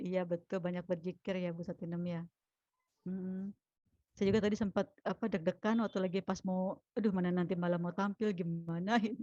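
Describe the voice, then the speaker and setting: Speaking at a fairly quick pace, a woman uses a medium pitch and monotone, flat intonation, her dark, mellow tone captured dry and close with no echo. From mixed Palembang, Javanese, Sundanese, Betawi background. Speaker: teacher, event emcee. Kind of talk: online community class hosting.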